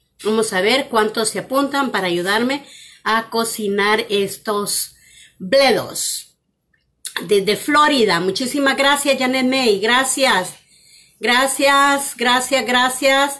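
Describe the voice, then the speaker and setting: A woman's high-pitched voice at a very slow pace, with ordinary pitch variation, over a quiet background. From Guatemala. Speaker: cooking channel host. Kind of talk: live cooking demonstration. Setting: home kitchen, live stream. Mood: warm, cheerful. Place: kitchen. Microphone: phone near.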